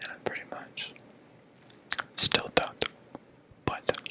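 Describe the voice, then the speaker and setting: Against noticeable background noise, a man whispers in a relaxed tone. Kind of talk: ASMR ramble to camera. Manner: whispered, relaxed.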